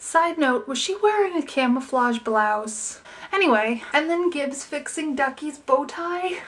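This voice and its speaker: Speaking at a moderate pace, a woman with a high pitch uses lively intonation over noticeable background noise. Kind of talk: TV episode review talk to camera. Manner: casual, chatty.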